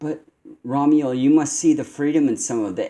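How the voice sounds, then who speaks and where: Using a put-on character voice, a man speaks at a moderate pace and fairly high pitch, with hissing. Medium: read story. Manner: hissing through clenched teeth.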